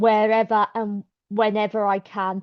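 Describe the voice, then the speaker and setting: In a Birmingham accent, a woman speaks at a fairly high pitch with monotone, flat intonation. Her pace is very slow. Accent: Birmingham (Brummie). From South Birmingham, England. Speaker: activist. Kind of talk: public meeting speech.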